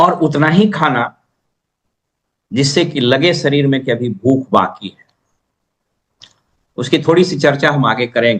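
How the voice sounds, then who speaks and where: A man's fairly high voice with lively intonation and long, frequent pauses. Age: 60s. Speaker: retired civil servant, channel host. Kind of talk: personal talk on health.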